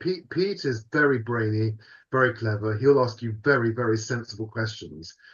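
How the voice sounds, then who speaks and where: A man with a British accent speaks at a moderate pace and medium pitch. His voice is somewhat breathy, with ordinary pitch variation. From UK. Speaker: podcast co-host. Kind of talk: casual chat. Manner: animated.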